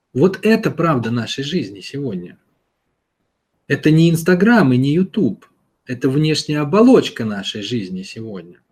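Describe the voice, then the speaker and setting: Somewhat breathy and fairly high in pitch, a man speaks with very wide pitch swings and long, frequent pauses. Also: moderate pace. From Russia, St Petersburg. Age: 30s. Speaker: self-development mentor answering listener questions. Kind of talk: monologue answering a listener's question. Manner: conversational, addressing listener directly.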